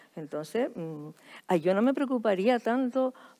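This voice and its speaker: A woman's voice with very wide pitch swings on a very clean recording with a silent background. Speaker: writer. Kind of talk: panel discussion. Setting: stage with audience.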